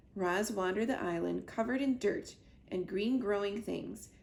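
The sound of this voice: The speaker uses an unforced reading voice.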